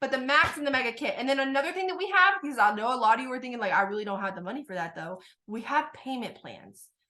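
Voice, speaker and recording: A woman's high-pitched voice at a very fast pace. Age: 20s. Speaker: network marketing recruiter. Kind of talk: sales pitch. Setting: video call. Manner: animated.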